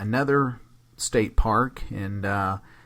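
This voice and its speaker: A man with an American accent and fairly even intonation. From eastern Oklahoma, near Braggs. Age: 50s. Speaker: former game warden. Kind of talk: interview storytelling.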